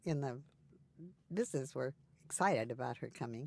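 Very wide pitch swings in a female voice. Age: 80s. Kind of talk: personal interview conversation. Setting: interview recording session.

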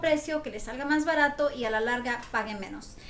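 Audible room echo and noticeable background noise surround a woman speaking in a high voice with ordinary pitch variation. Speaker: mortgage lender. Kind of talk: educational talk show segment. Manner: fast.

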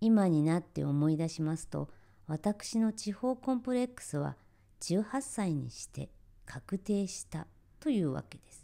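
Very clean recording, silent background: a woman speaks at a medium pitch and a fairly slow pace, in a dark, mellow tone. Her voice makes very wide pitch swings and big swings in loudness. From Japan, rural area near Tokyo. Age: 60s. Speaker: kimono dressing instructor. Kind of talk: scripted narration. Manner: formal.

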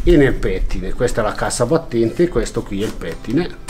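A man talks fairly quickly with ordinary pitch variation as faint music sits in the background. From Italy, Valtellina (Sondrio province); Italy. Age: 50s. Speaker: artisan weaver. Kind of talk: workshop demonstration; interview answer. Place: workshop.

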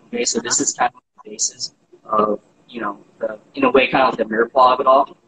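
Light noise sits in the background. Over it, a man talks. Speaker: guest. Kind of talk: interview answer. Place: kitchen. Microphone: video call.

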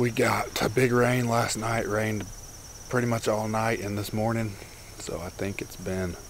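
A man at a fairly low pitch, dry sound with no echo and light background noise. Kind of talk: casual vlog chat. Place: forest. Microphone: phone near.

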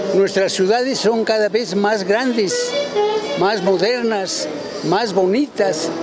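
Clear music plays in the background as a man speaks at a very slow pace. The sound is dry with no echo. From Puebla, Mexico. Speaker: activist and army veteran. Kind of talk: interview answer. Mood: earnest, cheerful, reflective. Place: street. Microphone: handheld.

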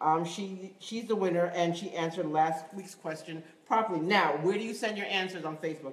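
A woman speaks in an animated tone at a moderate pace, with audible room echo around her. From New York, West Indian heritage. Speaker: acting show host. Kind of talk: live web show presenting. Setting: studio, live-streamed. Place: studio. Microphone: phone near.

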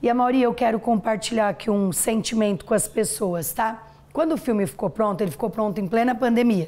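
A woman talks at a fairly quick pace, fairly high in pitch, with lively intonation and very even loudness. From interior of São Paulo state, Brazil. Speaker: dentist and franchise entrepreneur; interview guest. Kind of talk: TV interview, life story. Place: studio.

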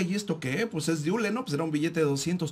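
Moderately paced male speech, high-pitched and lively in intonation. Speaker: radio co-host. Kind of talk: casual radio talk show.

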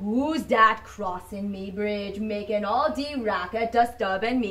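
The plain reading aloud has pitch that shifts in an ordinary way.

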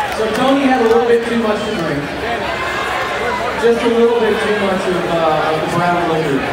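Crowd noise in the background and audible room echo surround a voice speaking at a moderate pace. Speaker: radio host emceeing a show. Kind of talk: stage banter introduction. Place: stage.

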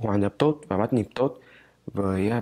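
A man's fairly low pitch with a dark, mellow tone. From Hanoi, Vietnam. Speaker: international student. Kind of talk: student testimonial; interview answer. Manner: halting. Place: church.

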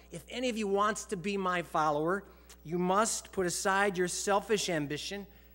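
Here a man speaks with a bright, sharp tone. His pitch varies in an ordinary way. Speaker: pastor. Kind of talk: sermon. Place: church. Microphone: headset.

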